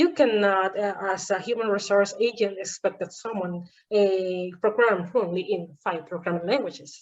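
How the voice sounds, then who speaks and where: A woman speaks with a Spanish accent at a moderate pace. Her pitch is medium. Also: ordinary pitch variation. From Venezuela. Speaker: podcast host, engineering teacher. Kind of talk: casual interview chat.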